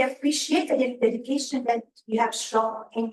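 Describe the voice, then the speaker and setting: A woman speaks with a non-native accent and fairly even intonation. Her pitch is fairly high. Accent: noticeable foreign. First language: not English. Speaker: resident speaking at public comment. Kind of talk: public comment at a board meeting. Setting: township board meeting. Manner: somewhat halting.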